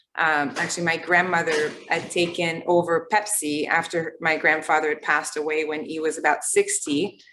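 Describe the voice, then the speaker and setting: A woman with a slight Quebec accent speaks at a moderate pace with hardly any pauses, her pitch fairly low. Her tone is bright and sharp, her intonation monotone and flat. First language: French. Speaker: tech company founder and CEO. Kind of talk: interview. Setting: online webinar.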